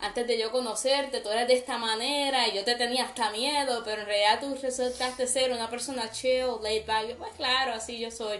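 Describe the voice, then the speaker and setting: The speech moves at a moderate pace with fairly even intonation, and room echo is audible. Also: woman. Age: 20s. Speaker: podcast host. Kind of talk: casual chat.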